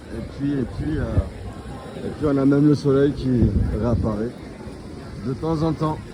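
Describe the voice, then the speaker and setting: A man's medium-pitched voice with ordinary pitch variation, long and frequent pauses, audible room echo and crowd noise in the background. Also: fairly slow pace. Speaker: travel vlogger. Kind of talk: casual vlog narration. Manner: halting, many repetitions.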